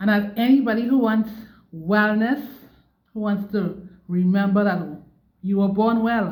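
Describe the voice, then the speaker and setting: A woman's somewhat breathy voice at a fairly slow pace, with fairly even intonation, long, frequent pauses and audible room echo. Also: medium pitch for a woman. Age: 60s. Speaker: stroke survivor vlogger. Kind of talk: personal testimony monologue. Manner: repetitive, emphatic.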